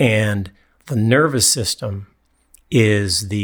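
Over a silent background in a very clean recording, a man with an Upper Midwest accent speaks very slowly at a fairly low pitch with ordinary pitch variation. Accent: Upper Midwest American. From US Midwest (mid-Michigan, East Lansing). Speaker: personal trainer. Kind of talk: casual chat. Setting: studio.

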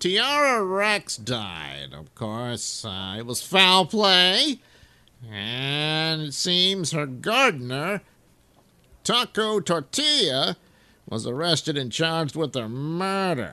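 Putting on a character voice, a man talks very slowly at a fairly high pitch, with very wide pitch swings and big swings in loudness.

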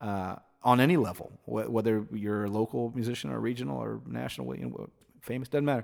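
The recording is very clean, with a silent background. A man talks fairly quickly at medium pitch in an ordinary speaking voice. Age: 40s. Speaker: musician. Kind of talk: casual chat. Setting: home recording studio.

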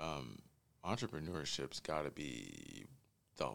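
A voice with vocal fry and an American accent. It moves at a fairly slow pace. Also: man. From Northern California. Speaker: entrepreneur. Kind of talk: casual conversation.

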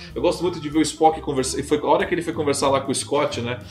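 Over noticeable background noise, a man speaks at a very fast pace. His pitch is fairly high. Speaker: podcast host. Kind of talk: casual panel discussion. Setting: live-streamed video recording.

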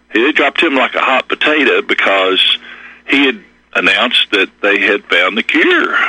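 A man at a moderate pace with an American accent, over noticeable background noise. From Kentucky, US. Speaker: caller. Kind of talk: call-in, casual anecdotal chat. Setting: phone call. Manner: casual, rambling, hesitant.

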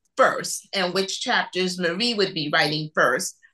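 With an American accent, a woman speaks in a plain, everyday voice at a medium pitch and a fairly slow pace. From New York City. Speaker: author. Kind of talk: casual interview chat.

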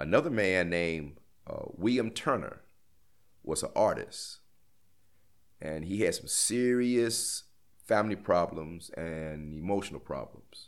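The speaker has an American accent and lively intonation. The pace is fairly slow, with long, frequent pauses. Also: man, fairly low pitch for a man. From Gary, Indiana, US Midwest. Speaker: former death row prisoner. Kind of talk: interview testimony. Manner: halting, many hesitations and restarts.

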